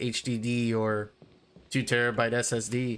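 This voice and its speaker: A man speaks in a flat monotone, recorded very cleanly against a silent background. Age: 20s. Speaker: gaming YouTuber. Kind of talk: casual talk over gameplay. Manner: hesitant, filler-heavy.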